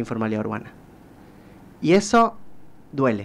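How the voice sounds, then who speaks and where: A plain, everyday voice, a man's, fairly high in pitch, at a moderate pace. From Corrientes, Argentina. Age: 20s. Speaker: social sciences researcher and author. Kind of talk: radio interview answer. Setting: studio.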